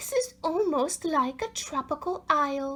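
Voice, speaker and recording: A woman puts on a character voice at a high pitch. She speaks at a fairly slow pace. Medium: read story. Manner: gentle, thoughtful.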